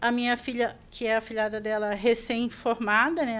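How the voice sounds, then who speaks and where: Heard over a silent background in a very clean recording, a plain, everyday voice moves at a moderate pace. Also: woman. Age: 60s. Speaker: shop owner. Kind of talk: podcast interview.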